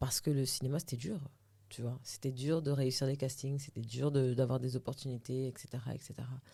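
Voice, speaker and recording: Dark and mellow, the tone carries through. There is a somewhat breathy quality to it. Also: woman. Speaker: actress and TV host. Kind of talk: podcast interview. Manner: casual, code-switching into English.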